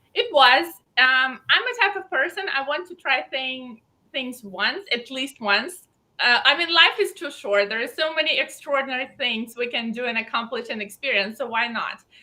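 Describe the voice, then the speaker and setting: A woman's high-pitched voice at a moderate pace with lively intonation. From Belarus. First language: Belarusian. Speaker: fashion designer and pageant titleholder. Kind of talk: interview.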